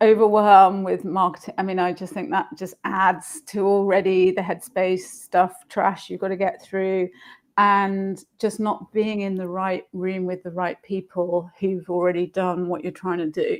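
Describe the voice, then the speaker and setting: Recorded very cleanly against a silent background, a woman speaks at a fairly slow pace with hardly any pauses, her medium-pitched voice monotone and flat. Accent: London. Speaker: marketing entrepreneur. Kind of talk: live stream interview. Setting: live video stream.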